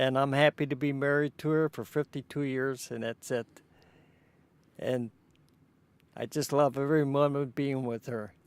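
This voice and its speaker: A man with a Chicago accent speaks in a monotone, flat way at a fairly high pitch and a moderate pace, with long, frequent pauses. The recording is very clean, the background silent. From Chicago, Illinois (Pullman). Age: 80s+. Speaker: interviewee recounting family history. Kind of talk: oral history interview. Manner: halting.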